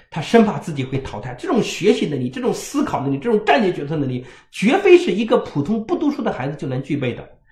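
Over noticeable background noise, a man talks at a very fast pace with hardly any pauses, his animated tone pitched high and swinging very widely. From rural China. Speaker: parenting educator. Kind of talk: lecture.

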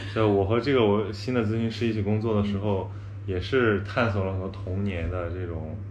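A fairly low-pitched man at a fairly quick pace, fairly even intonation, with audible room echo and noticeable background noise. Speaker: journalist and podcaster. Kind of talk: casual chat.

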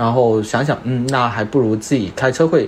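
Noticeable background noise sits under a voice with ordinary pitch variation at a moderate pace. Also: man. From Guangdong, China. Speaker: car owner, software product manager. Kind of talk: casual chat.

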